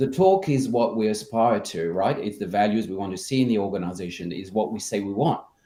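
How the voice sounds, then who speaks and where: A man speaks in a dark, mellow tone at a fairly quick pace with lively intonation. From France. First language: French. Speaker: culture consultant. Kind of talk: interview.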